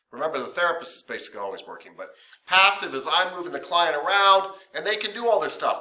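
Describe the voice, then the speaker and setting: A man talks at a fairly quick pace in a high pitch, with lively intonation and a bright, sharp tone. Room echo is audible. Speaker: massage therapy instructor. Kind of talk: lecture. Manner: loud; casual, conversational.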